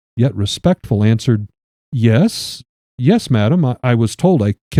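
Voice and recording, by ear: Someone is reading aloud in a natural voice with lively intonation against a quiet background.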